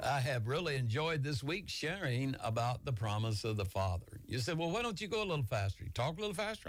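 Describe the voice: Delivery comes at a fairly quick pace. Intonation stays lively. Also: man.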